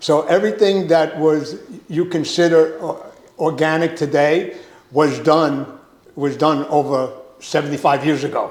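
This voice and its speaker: A man with a New York accent, fairly high-pitched, fairly slow and fairly even in intonation. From Brooklyn, New York. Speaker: produce industry consultant. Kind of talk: casual interview chat.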